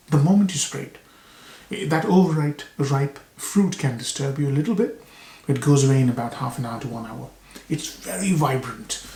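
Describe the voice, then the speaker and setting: A soft-spoken man with a fairly high pitch talks at a moderate pace. His intonation is lively and his loudness swings widely. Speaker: fragrance reviewer. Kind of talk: product review. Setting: video recording to camera.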